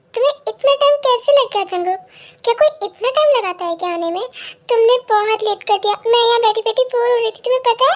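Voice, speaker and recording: Putting on a character voice, a woman speaks at a fairly quick pace in an extremely high pitch with ordinary pitch variation. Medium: read story.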